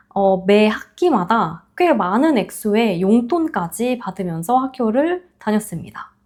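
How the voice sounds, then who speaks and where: In a very clean recording with a silent background, a woman speaks at a fairly slow pace in a fairly high pitch with very wide pitch swings. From South Korea. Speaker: YouTuber, corporate employee abroad. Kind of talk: advice talk to camera.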